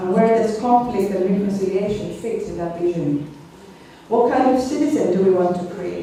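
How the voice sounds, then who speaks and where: A woman at a medium pitch, talking at a fairly quick pace with ordinary pitch variation, amid audible room echo and noticeable background noise. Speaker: conference speaker. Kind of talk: academic conference talk. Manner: fast.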